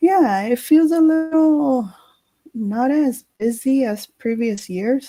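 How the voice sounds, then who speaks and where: A loud woman's high-pitched voice, very slow in pace, with a dark, mellow tone and lively intonation. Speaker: film critic. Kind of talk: casual chat. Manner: quieter than usual.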